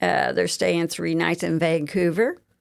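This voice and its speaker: A woman with a Southern US accent speaks at a fairly slow pace in a very clean recording with a silent background. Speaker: travel agent. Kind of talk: interview. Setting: radio studio.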